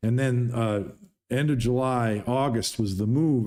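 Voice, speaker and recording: The recording is very clean with a silent background, and the man's voice sits at a medium pitch. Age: 60s. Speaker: pool player and YouTuber. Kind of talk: livestream Q&A monologue. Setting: livestream.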